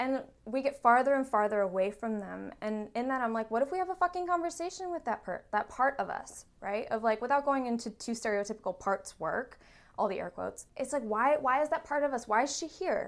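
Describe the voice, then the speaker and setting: A loud, animated woman with a high pitch, fairly quick pace, and lively intonation. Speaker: therapist. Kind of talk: casual chat.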